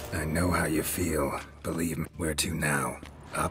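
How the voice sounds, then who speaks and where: Using a put-on character voice with a very deep, low pitch, a man talks at a moderate pace over clear background noise. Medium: machinima. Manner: terse, clipped, deadpan.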